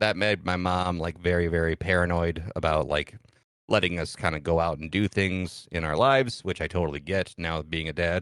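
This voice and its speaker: A man with an American accent and a very deep, low pitch at a moderate pace against a quiet background. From US Midwest, Michigan-Ohio border farm town. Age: 30s. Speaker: streamer. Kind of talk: podcast interview, personal story.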